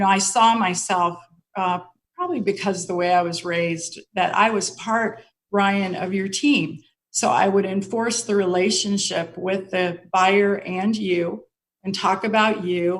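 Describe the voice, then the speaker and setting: At a fairly slow pace, a woman with a plain, everyday voice speaks in a medium pitch with fairly even intonation. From Colorado, US (Denver). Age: 60s. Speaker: mortgage executive. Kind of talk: interview.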